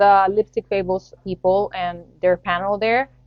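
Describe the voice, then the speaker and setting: Music plays behind a woman speaking with a Spanish accent. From Latin America. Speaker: podcast host. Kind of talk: solo podcast commentary.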